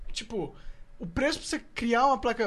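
This man talks at a very fast pace. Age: 20s. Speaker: podcast host. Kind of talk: casual chat; sales pitch.

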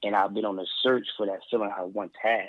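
Speaking in an American accent, a man keeps his delivery plain. His intonation is monotone and flat. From US Northeast, Philadelphia. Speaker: educator and mentor. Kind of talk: interview conversation. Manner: fast talker.

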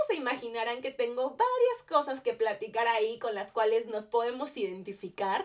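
A woman with an animated tone and lively intonation, at a moderate pace with hardly any pauses. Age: 20s. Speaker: podcast host. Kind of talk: casual monologue. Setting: home.

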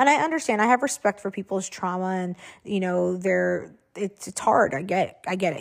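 The recording is very clean, with a silent background. A woman with a medium pitch speaks at a fairly quick pace. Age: 30s. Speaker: podcast host. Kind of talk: solo monologue. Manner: casual with frequent fillers; animated.

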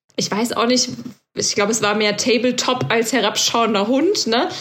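A woman's fairly rapid speech, delivered with fairly flat intonation, competes with clearly audible background noise. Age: 30s. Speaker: podcast co-host, trainee yoga teacher. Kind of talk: casual chat.

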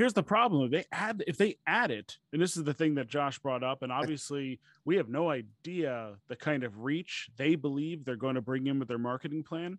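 At a moderate pace with hardly any pauses, a man with a fairly high pitch sounds animated, his intonation lively, in a dry, close sound with no echo. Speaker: podcast host. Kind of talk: casual banter, livestream hosting. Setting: online livestream. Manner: animated, talkative, jokey.

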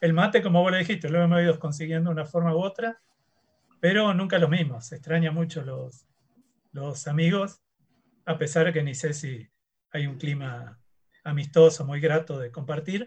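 A man's fairly high voice at a moderate pace, with ordinary pitch variation, big swings in loudness and long, frequent pauses. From Rosario, Argentina. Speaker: university professor. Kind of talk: casual chat.

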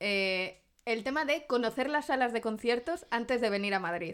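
On a very clean recording with a silent background, a woman speaks at a moderate pace. Her fairly high voice has lively intonation. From Zamora, Spain. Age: 30s. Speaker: podcast co-host. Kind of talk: casual chat.

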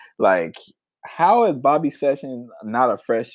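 This man's voice carries vocal fry and very wide pitch swings. Everything is captured in a very clean recording against a silent background. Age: 20s. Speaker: music podcast host. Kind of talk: casual solo podcast talk.

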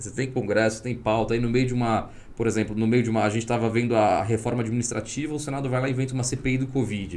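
With hardly any pauses, a man of medium pitch talks at a very fast pace in a monotone, flat intonation, with audible room echo around him. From Espírito Santo, Brazil. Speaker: tech entrepreneur and former government official. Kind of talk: podcast interview.

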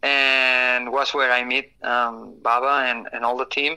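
Speaking with a Spanish accent, the man keeps his voice at a medium pitch. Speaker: supercross racer. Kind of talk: casual interview. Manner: halting, many fillers and repeats.

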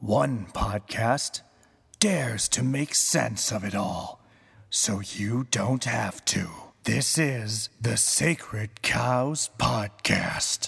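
In a raspy put-on character voice of medium pitch, a man drawls at a very slow pace. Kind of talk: announcer. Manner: scary.

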